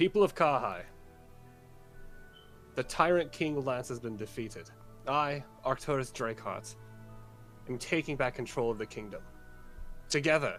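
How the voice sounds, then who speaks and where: With clear music in the background, a man puts on a booming character voice at a medium pitch and moderate pace. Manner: loud, booming, echoing.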